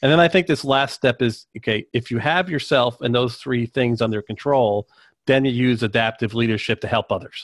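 Speaking in an American accent, a man uses an ordinary speaking voice at medium pitch with ordinary pitch variation. His loudness stays very even, and his pace is moderate. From US South, North Carolina. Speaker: podcast host. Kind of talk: casual chat.

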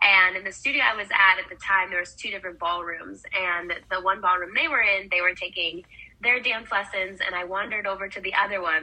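A woman with an American accent speaks at a fairly quick pace, medium in pitch and fairly even in intonation. Noticeable background noise runs underneath. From Wisconsin, US Midwest. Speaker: professional ballroom dancer and dance educator. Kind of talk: casual interview.

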